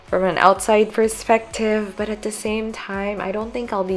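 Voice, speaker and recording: Noticeable background noise runs under this recording. A woman speaks with a Filipino accent. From Philippines. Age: 20s. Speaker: lifestyle vlogger. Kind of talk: casual voiceover chat.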